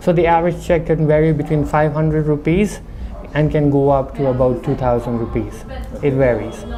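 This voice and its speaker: Noticeable background noise sits behind a voice with a slight non-native accent. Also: fairly quick pace. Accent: slight foreign accent from living abroad. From India, Darjeeling. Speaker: restaurant owner. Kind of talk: interview.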